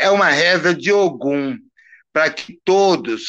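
A man talks at a very slow pace with ordinary pitch variation. His tone is bright and sharp, over a quiet background. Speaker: Candomblé priest. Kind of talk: casual interview on a live stream.

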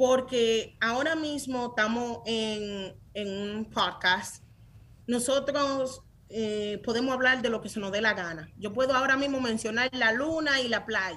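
Bright and sharp, a woman's fairly high voice comes at a fairly slow pace. Her pitch varies in an ordinary way. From Dominican Republic (San Francisco de Macorís), then New York. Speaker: tech startup founder. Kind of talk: interview. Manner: animated.

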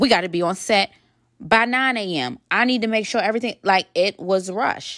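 In a very clean recording with a silent background and a dry, close sound with no echo, a woman speaks in an animated tone at a medium pitch and moderate pace with ordinary pitch variation. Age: 30s. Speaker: podcast host and wardrobe stylist. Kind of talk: casual monologue.

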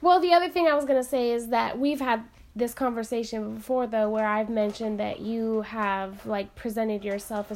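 At a moderate pace, a woman with an American accent and a normal speaking voice talks at a fairly high pitch with ordinary pitch variation. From US, small town. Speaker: podcast co-host. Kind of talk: casual chat.

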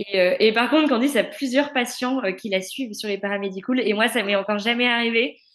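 There is noticeable background noise as a woman talks at a fairly quick pace with hardly any pauses. Her voice is fairly high, with ordinary pitch variation. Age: 20s. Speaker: speech therapist. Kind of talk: casual chat.

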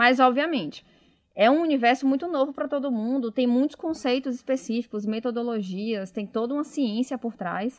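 Moderate pace and ordinary pitch variation in a Bahian accent, on a very clean recording with a silent background. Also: woman, high pitch for a woman. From Bahia, Brazil (Salvador). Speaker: innovation manager. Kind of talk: casual interview.

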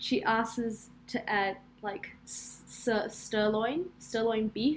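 A woman talks with a fairly high pitch. Her pitch varies in an ordinary way. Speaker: podcast co-host.

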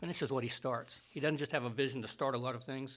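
An unremarkable speaking voice from a man with an American accent, fairly high pitch, and ordinary pitch variation. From US South. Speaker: Bible college administrator and professor. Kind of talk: interview conversation.

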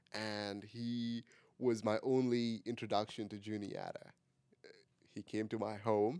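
A man's fairly low, dark, mellow voice with an Indian accent, flat and monotone, fairly slow, with big swings in loudness. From India (Pune). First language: an Indian language, not English. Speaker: college student podcast co-host. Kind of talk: casual chat. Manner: halting, many repeated words.

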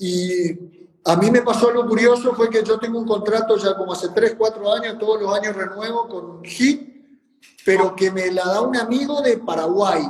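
Intonation here stays fairly even. The delivery holds a moderate pace. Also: man, high pitch for a man. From Argentina, Formosa province. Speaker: tennis coach and senior tennis player. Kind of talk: casual interview.

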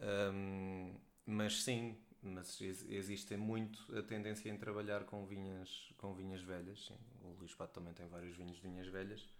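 In a room with audible echo, a man speaks with monotone, flat intonation. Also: fairly low pitch for a man, fairly slow pace. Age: 30s. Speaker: wine trade professional. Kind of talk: casual chat.

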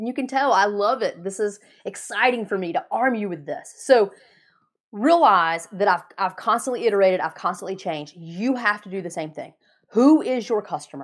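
A woman's voice with very wide pitch swings, in a very clean recording with a silent background. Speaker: podcast host and business coach. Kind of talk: solo podcast monologue on business advice. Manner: fast talker when passionate; animated, motivational.

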